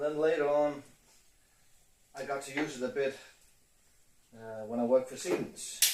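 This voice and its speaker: A man with a fairly high pitch speaks at a moderate pace with fairly even intonation, big swings in loudness, and long, frequent pauses. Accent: Danish. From Denmark. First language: Danish. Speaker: motorcycle hobbyist YouTuber. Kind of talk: casual DIY video narration. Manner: halting, with fillers.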